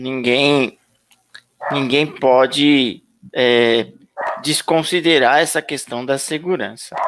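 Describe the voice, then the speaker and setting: Speaking at a very slow pace with long, frequent pauses, a man uses a medium pitch and fairly even intonation. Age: 50s. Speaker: YouTube channel host. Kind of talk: live stream interview.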